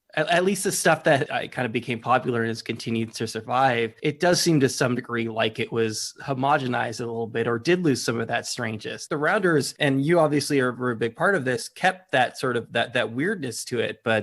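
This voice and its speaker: At a fairly quick pace and with hardly any pauses, a man of medium pitch talks in an ordinary speaking voice with ordinary pitch variation. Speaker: podcast host. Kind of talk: interview question.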